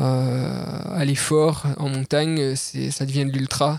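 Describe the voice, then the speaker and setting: Man with fairly high pitch. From France, Jura mountains. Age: 30s. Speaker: ultra-trail runner. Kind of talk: casual interview. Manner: hesitant, many repeated words.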